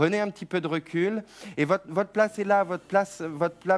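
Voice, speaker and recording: Man at a moderate pace with ordinary pitch variation, music in the background. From France. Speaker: TV psychic. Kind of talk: live call-in psychic reading. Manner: hesitant, many repetitions.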